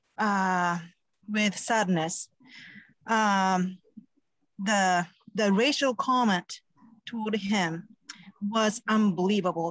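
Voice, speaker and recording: A woman speaks at medium pitch. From Japan. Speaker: parent. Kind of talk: public comment. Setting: video call. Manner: halting.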